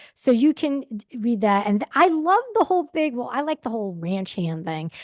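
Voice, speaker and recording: Against noticeable background noise, a high-pitched woman with an American accent speaks at a moderate pace, her pitch swinging very widely, in a dry, close sound with no echo. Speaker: book talk show co-host. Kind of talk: casual chat. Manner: halting.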